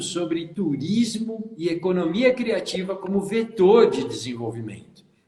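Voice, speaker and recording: A man's high voice with lively intonation in a São Paulo accent, at a fairly slow pace. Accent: São Paulo (paulista) Brazilian Portuguese. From São Paulo state, Brazil. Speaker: tourism consultant and live show host. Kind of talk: live stream hosting. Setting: Instagram live video. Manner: animated.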